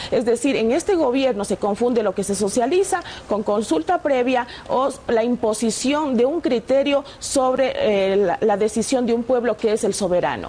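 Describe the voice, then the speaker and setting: A woman's high-pitched voice at a moderate pace, with lively intonation, very even loudness and noticeable background noise. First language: Shuar (speaking Spanish). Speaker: politician. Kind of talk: TV interview. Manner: some hesitations and self-corrections.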